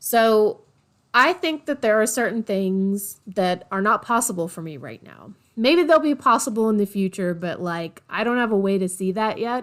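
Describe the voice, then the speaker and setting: A woman with an ordinary speaking voice talks at a moderate pace and fairly high pitch, with lively intonation and big swings in loudness. The recording is very clean, with a silent background. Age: 30s. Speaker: podcast host and bookkeeper. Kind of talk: casual solo podcast monologue. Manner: conversational, many fillers.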